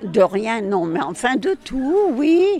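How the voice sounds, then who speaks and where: A woman's high voice at a very slow pace, with very wide pitch swings and noticeable background noise. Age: 90s. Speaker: care home resident. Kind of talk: interview.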